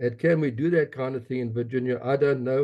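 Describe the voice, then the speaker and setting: A man with a South African accent talks at a fairly quick pace, medium in pitch and with fairly even intonation. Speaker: advocacy group leader. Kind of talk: meeting comment.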